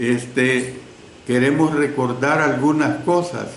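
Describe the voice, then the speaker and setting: Over noticeable background noise and audible room echo, a man speaks at a very slow pace with fairly even intonation. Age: 70s. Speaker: preacher. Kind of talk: sermon. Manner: conversational with fillers.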